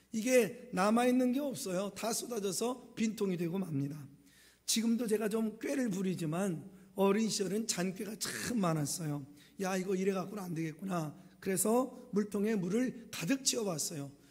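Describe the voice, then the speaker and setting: A high-pitched man at a moderate pace, with ordinary pitch variation and audible room echo. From rural South Korea. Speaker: pastor. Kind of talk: sermon.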